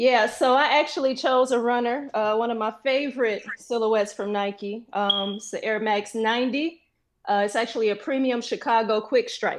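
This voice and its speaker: A woman with an American accent and a normal speaking voice, fairly high in pitch, at a moderate pace with ordinary pitch variation against a quiet background. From Flint, Michigan. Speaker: sneaker collector, contestant. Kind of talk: casual show-and-tell.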